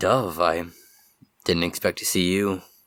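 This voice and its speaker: A man uses a put-on character voice that is raspy and very deep, with fairly even intonation and a fairly slow pace. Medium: actual play.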